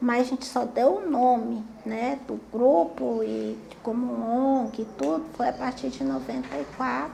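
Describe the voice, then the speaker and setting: Noticeable background noise behind fairly slow speech. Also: woman. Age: 50s. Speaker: community activist. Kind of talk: testimony.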